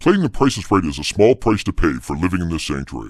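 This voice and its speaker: Using a put-on character voice, a man talks at a very fast pace in a very deep, low pitch. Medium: audio drama. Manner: matter-of-fact, wry.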